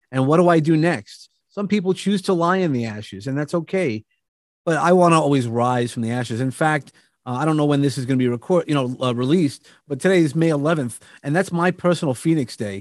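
On a very clean recording with a silent background, a man with a New York accent speaks at a fairly quick pace, his fairly high voice full of lively intonation. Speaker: motivational speaker. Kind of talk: casual chat.

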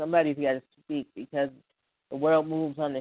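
With an American accent, a man talks at a fairly quick pace and a fairly high pitch. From Buffalo area, western New York. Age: 20s. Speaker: spoken word poet, caller. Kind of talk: spoken word poetry and phone chat. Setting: phone call.

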